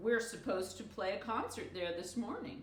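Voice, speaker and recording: A put-on character voice at a moderate pace, with slight echo. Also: woman. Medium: read story.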